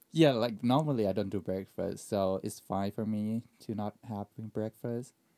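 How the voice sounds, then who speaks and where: A man with a Thai accent speaks at a fairly low pitch in a dark, mellow tone, with ordinary pitch variation. There are hardly any pauses, and the sound is dry and close with no echo. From Thailand. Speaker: airline pilot scheduler and podcast editor. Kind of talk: casual chat.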